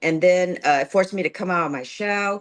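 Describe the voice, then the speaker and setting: A woman with an American accent and a normal speaking voice, at a moderate pace with ordinary pitch variation, over a quiet background. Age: 60s. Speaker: community leader. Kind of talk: casual chat.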